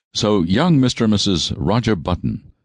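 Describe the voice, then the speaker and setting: A man's very deep, low pitch with vocal fry, at a moderate pace, in a dry, close sound with no echo. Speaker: audiobook narrator. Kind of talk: audiobook narration.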